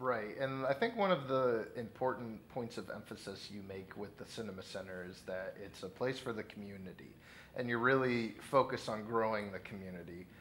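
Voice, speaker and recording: With a normal speaking voice, a man talks at a fairly quick pace and medium pitch, showing ordinary pitch variation. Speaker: interviewer. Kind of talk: interview. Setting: on location at event.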